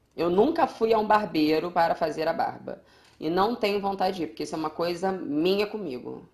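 Using a plain, everyday voice, a woman speaks fairly quickly at a medium pitch with lively intonation. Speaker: podcast co-host. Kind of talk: casual chat. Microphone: echo in recording.

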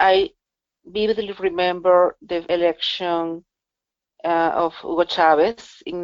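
Fairly low pitch from a woman in a Spanish accent, intonation fairly even. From Venezuela. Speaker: digital rights policy officer. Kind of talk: interview. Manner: halting, frequent word repetitions.

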